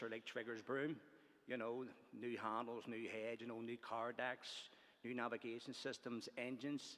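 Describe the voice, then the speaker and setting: Monotone, flat delivery from a man with a Belfast accent, medium in pitch, at a moderate pace. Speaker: trade union organiser. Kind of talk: conference speech. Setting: conference hall. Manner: hesitant, many fillers.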